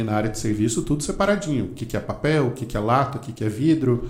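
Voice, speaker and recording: The voice is somewhat breathy. Room echo can be heard. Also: man. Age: 40s. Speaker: marketing author and teacher. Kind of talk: casual interview.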